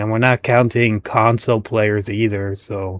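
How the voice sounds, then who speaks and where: In a very clean recording with a silent background, a man with a normal speaking voice talks at a fairly low pitch, his intonation fairly even and the sound dry and close with no echo. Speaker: gaming commentator. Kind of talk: reaction commentary. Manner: casual, stumbling over words.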